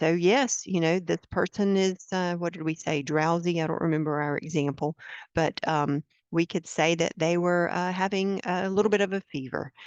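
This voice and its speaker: The voice shows ordinary pitch variation, recorded dry and close with no echo over a quiet background. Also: woman. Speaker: product trainer, former librarian. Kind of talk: software training webinar. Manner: fast.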